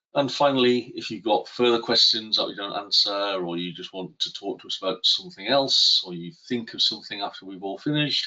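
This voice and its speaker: A man with a British accent at a fairly quick pace, with hardly any pauses. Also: big swings in loudness. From UK. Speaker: software product expert. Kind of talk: live webinar presentation. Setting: online webinar. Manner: hesitant, many fillers.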